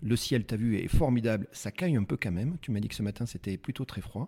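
Over a silent background in a very clean recording, a man speaks at a fairly quick pace with lively intonation and a dark, mellow, somewhat breathy tone. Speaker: podcast host. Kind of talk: interview. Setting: tourist office in ski resort. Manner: fast.

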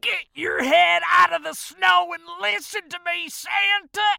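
In a put-on character voice with a bright, sharp tone, the speaker shouts and growls at a fairly slow pace, adding vocal fry, with ordinary pitch variation and a dry, close sound with no echo.

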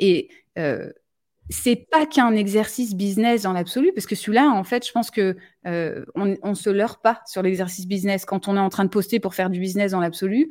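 The recording is very clean, with a silent background. A woman speaks at a medium pitch and fairly quick pace with ordinary pitch variation. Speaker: live stream host. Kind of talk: live stream conversation. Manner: direct.

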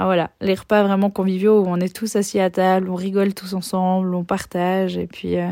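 At a moderate pace and medium pitch, a woman speaks with hardly any pauses in a monotone, flat intonation, captured on a very clean recording with a silent background. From Switzerland. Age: 20s. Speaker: podcast host, teacher and life coach. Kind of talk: solo monologue podcast. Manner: hesitant with many fillers.

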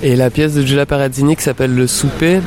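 A man talks at a fairly quick pace and medium pitch. His intonation is fairly even, with noticeable background noise. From Switzerland. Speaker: art curator. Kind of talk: interview.

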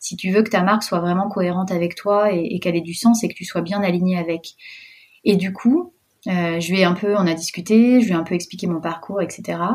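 Using a plain, everyday voice, a woman speaks at a fairly quick pace with medium pitch and fairly even intonation. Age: 30s. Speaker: entrepreneur and mother. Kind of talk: personal testimony interview.

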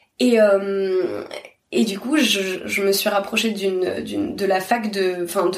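Audible room echo surrounds the voice. A woman speaks at medium pitch with ordinary pitch variation. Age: 30s. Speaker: literature teacher. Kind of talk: interview. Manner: halting.

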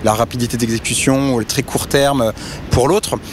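Over noticeable background noise, the speech moves at a fairly slow pace. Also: man. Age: 40s. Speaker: startup co-founder and CEO in energy brokerage. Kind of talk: interview. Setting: outdoors by a river.

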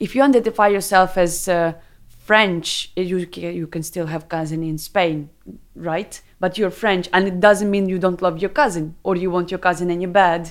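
With a Ukrainian accent, a woman speaks at a moderate pace with medium pitch and fairly even intonation. The recording is very clean, with a silent background. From Ukraine, Kharkiv. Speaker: interviewee sharing personal story. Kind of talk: casual interview chat.

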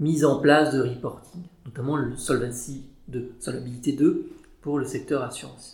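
Audible room echo surrounds a dark, mellow tone. The delivery is somewhat breathy and moves at a moderate pace. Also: man. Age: 30s. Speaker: chartered accountant. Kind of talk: interview. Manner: hesitant, many fillers.

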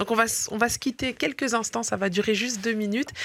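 A woman's plain, everyday voice, fairly high and fairly even in intonation, at a fairly quick pace in a very clean recording, silent background. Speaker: radio host. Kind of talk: radio interview.

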